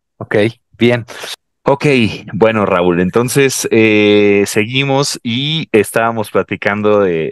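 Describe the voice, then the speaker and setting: Against a quiet background, a man with a Mexican accent talks with ordinary pitch variation and a dry sound with no echo. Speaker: podcast host. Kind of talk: interview. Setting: video call. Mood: cheerful, laughing. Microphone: headset.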